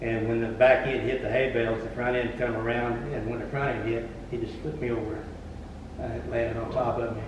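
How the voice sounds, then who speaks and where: A man talks at a fairly quick pace and medium pitch in a monotone, flat delivery. Audible room echo and noticeable background noise fill the recording. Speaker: former lawnmower racer turned tractor puller. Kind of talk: casual interview chat. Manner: halting, many fillers.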